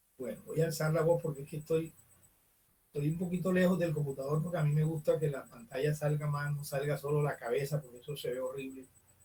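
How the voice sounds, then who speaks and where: Dark and mellow in tone, the voice moves at a very fast pace with fairly even intonation. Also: man, fairly high pitch for a man. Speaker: teacher. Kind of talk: online class lecture. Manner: loud. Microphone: far from the computer mic, quiet.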